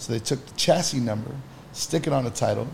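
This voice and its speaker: A man talks very fast at a medium pitch over noticeable background noise. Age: 30s. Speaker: entrepreneur. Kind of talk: casual chat.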